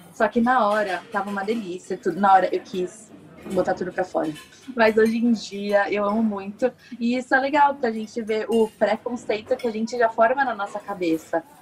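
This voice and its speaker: Noticeable background noise sits behind a woman speaking at a moderate pace in a fairly high pitch. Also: ordinary pitch variation. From Brazil, Santos (São Paulo). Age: 20s. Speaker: architecture student. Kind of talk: interview.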